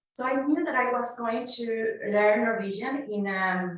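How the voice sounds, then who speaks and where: This woman speaks with a Spanish accent, her fairly high pitch showing ordinary variation. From Mexico. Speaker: conference speaker sharing migrant experience. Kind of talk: conference talk. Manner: halting with fillers.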